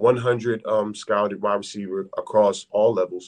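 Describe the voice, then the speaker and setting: A man's ordinary speaking voice in an American accent, medium pitch, ordinary pitch variation and moderate pace. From Philadelphia. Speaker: former NFL wide receiver. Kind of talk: interview.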